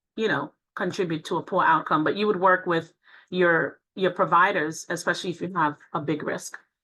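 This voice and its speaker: A woman talks at a moderate pace with a fairly low pitch and fairly even intonation. Her tone is bright and sharp against a quiet background. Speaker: cardiologist giving a lecture. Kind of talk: lecture Q&A.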